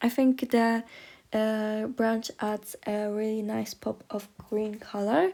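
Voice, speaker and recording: The voice has a dark, mellow tone and a non-native accent, moving at a very slow pace. The recording is very clean, with a silent background. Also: woman, fairly high pitch for a woman, fairly even intonation. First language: not English. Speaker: miniature crafter. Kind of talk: tutorial. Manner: hesitant, many fillers.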